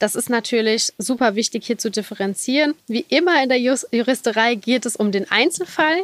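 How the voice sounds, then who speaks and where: A woman with a plain, everyday voice, fairly high in pitch with ordinary pitch variation, at a moderate pace in a dry, close sound with no echo. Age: 30s. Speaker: lawyer specialising in animal law. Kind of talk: interview.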